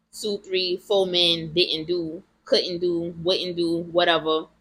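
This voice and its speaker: A woman's bright, sharp tone at a fairly low pitch, with monotone, flat intonation. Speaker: vlogger. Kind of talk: personal testimony vlog. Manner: emotional; loud at times.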